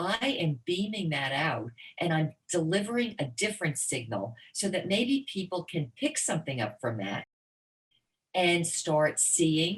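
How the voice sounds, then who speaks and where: A woman's fairly low, somewhat breathy, animated voice at a fairly slow pace, with very wide pitch swings. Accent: American. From US Northeast, New Jersey. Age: 60s. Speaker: motivational speaker. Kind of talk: interview conversation.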